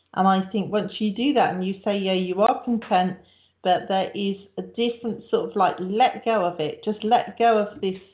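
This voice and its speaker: Her English accent comes through as a woman speaks at a moderate pace. Her pitch is medium and her intonation fairly even. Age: 50s. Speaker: radio host. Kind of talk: casual chat.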